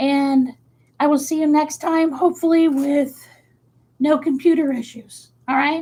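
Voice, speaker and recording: A woman with a high pitch and a dark, mellow tone speaks at a fairly slow pace in a monotone, flat intonation. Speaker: craft YouTuber. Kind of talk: livestream craft tutorial. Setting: live stream on webcam. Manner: casual, hesitant with fillers.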